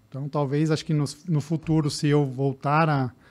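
The man talks at a fairly quick pace. His pitch is fairly high and his intonation monotone and flat. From interior of São Paulo state, Brazil. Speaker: sports physician and triathlete. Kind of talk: podcast interview. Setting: studio. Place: studio. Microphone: studio mic.

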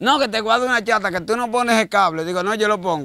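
A man speaks in a raised, projected voice, high in pitch and bright and sharp in tone. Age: 50s. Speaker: street interviewee, odd-job worker. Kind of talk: street interview.

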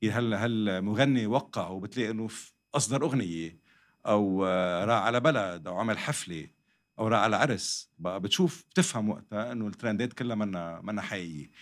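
A man speaks in a plain, everyday voice at a moderate pace. His pitch variation is ordinary, and the background is quiet. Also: fairly low pitch for a man. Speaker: podcast guest. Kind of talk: interview answer. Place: studio. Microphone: studio mic.

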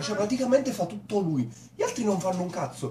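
The speech moves at a fairly quick pace over noticeable background noise. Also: man. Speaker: cartoon reviewer. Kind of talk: comedic commentary. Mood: mocking, amused. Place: home room. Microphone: webcam.

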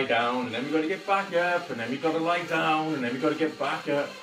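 A man talking at a fairly quick pace, with clear music in the background. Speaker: fitness instructor. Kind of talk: live workout class instruction. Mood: jokey, upbeat. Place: home room. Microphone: camera far.

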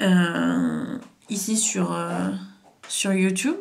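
A woman's voice at a medium pitch. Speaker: hypnotherapist and trauma coach YouTuber; therapist or coach. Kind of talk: story time monologue to camera. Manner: halting, many fillers. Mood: serious, emotionally engaged. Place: home room. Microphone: camera far.

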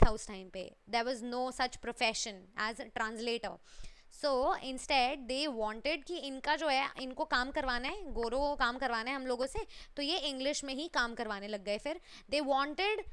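Her tone is animated, with lively intonation and a high pitch. The woman keeps a moderate pace. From India. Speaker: online teacher. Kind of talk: lecture. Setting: live stream. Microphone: headset.

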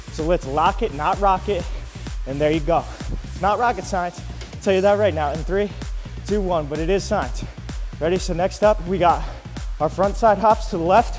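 A man speaks at a moderate pace with long, frequent pauses, and clear music plays in the background. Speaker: fitness instructor. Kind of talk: workout coaching. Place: gym.

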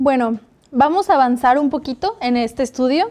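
A woman speaks with a Mexican accent at a fairly slow pace. Her tone is dark and mellow, and her pitch is high. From Mexico. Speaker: Bible study host. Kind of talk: Bible study discussion. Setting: studio. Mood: calm, earnest. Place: studio. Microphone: lapel.

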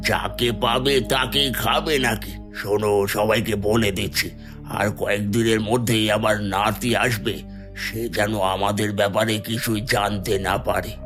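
Over loud music in the background, a man does a cartoonish character voice at a fairly low pitch and a fairly slow pace. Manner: firm, authoritative.

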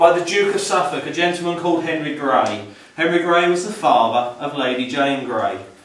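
A man talks at a fairly quick pace with ordinary pitch variation, light background noise and audible room echo. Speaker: house guide. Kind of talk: guided tour talk. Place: home room. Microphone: camera far.

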